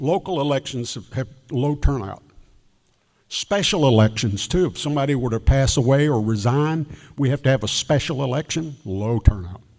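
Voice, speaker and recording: Man with a Southern US accent and lively intonation, moderate pace, very clean recording over a silent background. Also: medium pitch for a man. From South Carolina (Greenwood). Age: 80s+. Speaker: elections official. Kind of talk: talk with Q&A to audience.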